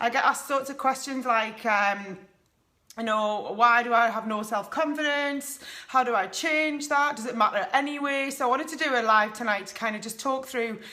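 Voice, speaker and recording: At a moderate pace, a woman with a high pitch and ordinary pitch variation speaks in a northeast English accent. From northeast England. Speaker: life coach. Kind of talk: live stream talk to viewers. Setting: live video stream at home. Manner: casual, many fillers.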